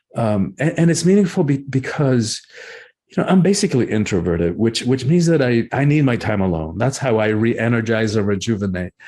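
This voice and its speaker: At a fairly quick pace, a man of medium pitch speaks with very wide pitch swings. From Cuba, raised in US South (Georgia) then Miami. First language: Spanish. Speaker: author and breathwork teacher. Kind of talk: interview conversation. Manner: halting, many repetitions.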